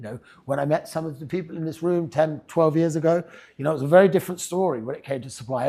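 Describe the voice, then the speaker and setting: This man's voice sits at a high pitch with ordinary pitch variation. He talks at a very fast pace. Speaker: property agency head giving investor seminar. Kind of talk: seminar presentation. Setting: room with live audience. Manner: casual, conversational.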